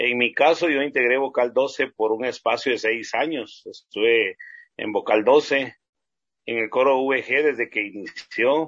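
Against a quiet background, a man uses an ordinary speaking voice at a fairly slow pace. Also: medium pitch for a man, fairly even intonation. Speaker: singer in a vocal trio. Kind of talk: interview.

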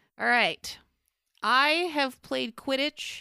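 Recorded very cleanly against a silent background, a woman's high voice comes through with a dry, close sound and no echo. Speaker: fan fiction podcast co-host. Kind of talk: casual chat.

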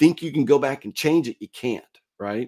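Recorded dry and close with no echo over a silent background, a man with an ordinary speaking voice speaks at a moderate pace with ordinary pitch variation. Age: 50s. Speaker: podcast co-host. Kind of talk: casual chat.

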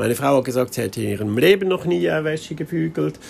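A man's voice with very wide pitch swings. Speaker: podcaster on minimalism. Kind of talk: casual monologue. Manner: spontaneous, with many fillers.

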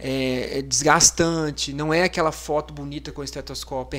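A man's moderate-paced speech comes through on a very clean recording with a silent background. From Minas Gerais, Brazil (Amparo do Serra). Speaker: physician, ICU coordinator. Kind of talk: casual interview. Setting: studio, live podcast.

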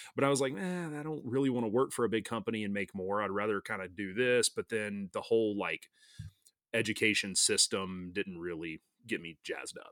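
Man with an American accent, fairly low pitch, lively intonation and an unremarkable speaking voice. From US South, North Alabama. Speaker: fly fishing company founder. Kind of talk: casual chat.

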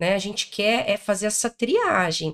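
A woman with an ordinary speaking voice, fairly high in pitch, with ordinary pitch variation at a fairly slow pace. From interior of Paraná, Brazil. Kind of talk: interview. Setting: event recording in Rio de Janeiro.

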